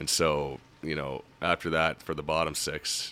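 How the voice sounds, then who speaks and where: In a Nova Scotian accent, a man speaks with a very deep, low pitch and a bright, sharp tone. His intonation is monotone and flat. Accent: Nova Scotian Canadian. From Halifax, Nova Scotia. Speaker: retired hockey goalie. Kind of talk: casual chat. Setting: studio.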